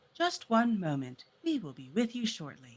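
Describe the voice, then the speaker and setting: This is a put-on character voice with a fairly high pitch. It moves at a moderate pace with very wide pitch swings. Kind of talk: polite, formal announcement.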